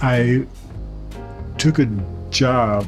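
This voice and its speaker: A man with a Southern US accent and fairly even intonation, music in the background. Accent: Southern American. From Mississippi, US South. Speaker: painter. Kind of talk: interview answer. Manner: stutters.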